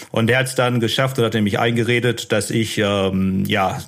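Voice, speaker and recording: Fairly low male speech, its intonation fairly even, amid noticeable background noise. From Ruhr area, Germany (Unna/Dortmund). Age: 30s. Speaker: former prisoner and author. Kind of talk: interview testimony. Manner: calm, matter-of-fact.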